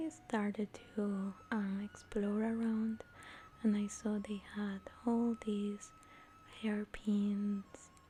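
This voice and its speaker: Soft-spoken and fairly high-pitched, a woman talks at a very slow pace in a monotone, flat intonation. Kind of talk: soft-spoken ASMR vlog talking to camera. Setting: recorded while traveling in Beijing. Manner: soft-spoken, relaxing.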